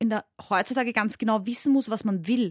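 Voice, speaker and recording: A woman talks at a very fast pace in a somewhat breathy, fairly high voice. Her intonation stays fairly even, and the sound is dry and close with no echo. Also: quiet background. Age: 20s. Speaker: sex educator and radio host. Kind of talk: casual chat.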